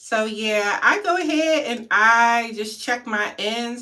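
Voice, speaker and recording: A woman's voice sits at a fairly high pitch with a bright, sharp tone. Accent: American. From Maryland. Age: 30s. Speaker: hair vlogger. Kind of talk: casual livestream chat.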